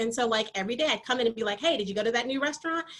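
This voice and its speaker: A woman with lively intonation and a fairly high pitch talks against noticeable background noise. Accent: American. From Michigan, US (military family). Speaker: athletic training professor. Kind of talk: lecture. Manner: loud.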